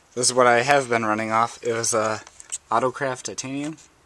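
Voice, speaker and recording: Noticeable background noise accompanies a man speaking at a fairly quick pace. His pitch is medium and his intonation fairly even. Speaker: car audio hobbyist. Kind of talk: casual tutorial. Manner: halting.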